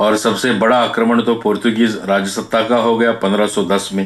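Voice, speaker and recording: A man is speaking. He has a non-native accent. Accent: non-native Hindi. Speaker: speaker on Goan culture and history. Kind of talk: talk to an audience. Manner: halting.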